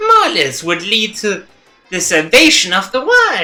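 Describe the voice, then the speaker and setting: Faint music plays behind a put-on character voice. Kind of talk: comic overacting. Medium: virtual streamer. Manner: playful, mocking, showy.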